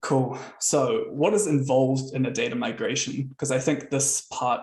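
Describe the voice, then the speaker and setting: With a New Zealand accent, a man speaks at a fairly high pitch in a somewhat breathy voice. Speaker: software consultant and founder. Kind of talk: webinar presentation. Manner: casual, with frequent fillers.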